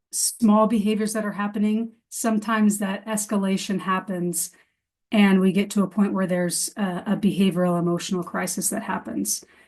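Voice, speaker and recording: The woman sounds somewhat breathy. Behind her the background is quiet. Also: medium pitch for a woman, fairly even intonation. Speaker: behavior specialist presenting to educators. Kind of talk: webinar presentation. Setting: online webinar. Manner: fast.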